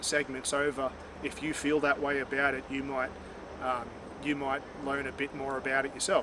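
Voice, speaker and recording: A man with an Australian accent, fairly high pitch and monotone, flat intonation at a moderate pace amid noticeable background noise. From Australia, Far North Queensland (Cairns). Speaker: vlogger. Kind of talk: personal reflection monologue. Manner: halting, many fillers and repeats.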